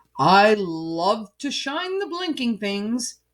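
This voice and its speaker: A put-on character voice, female-sounding and fairly high, moves at a very slow pace. Its pitch swings very widely. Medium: read story.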